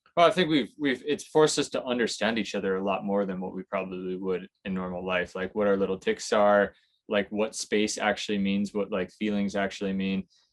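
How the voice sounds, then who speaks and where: A man with a plain, everyday voice and an American accent, fairly low in pitch, at a fairly quick pace with hardly any pauses and ordinary pitch variation. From United States. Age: 30s. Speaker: sailor, boat-life vlogger. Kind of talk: interview.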